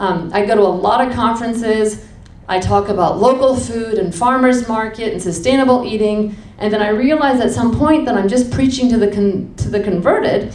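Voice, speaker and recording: A woman with an American accent speaks at a fairly quick pace in an animated tone with ordinary pitch variation. Audible room echo and noticeable background noise surround her voice. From Washington, DC, US. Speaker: restaurant co-founder and cook. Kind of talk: public talk. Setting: stage with audience.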